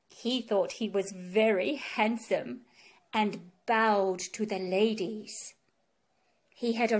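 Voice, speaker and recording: Very slowly, a woman speaks at a fairly high pitch in a gentle tone. The recording is very clean, the background silent. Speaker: audiobook reader. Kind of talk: children's storybook reading aloud. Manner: gentle, slow storytelling pace.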